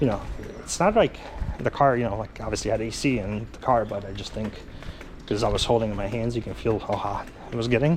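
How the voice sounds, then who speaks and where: A man with a medium pitch and ordinary pitch variation talks at a very fast pace, broken by long, frequent pauses, over noticeable background noise. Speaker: travel vlogger. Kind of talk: casual walking vlog narration. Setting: outdoors, street market. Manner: hesitant, many fillers.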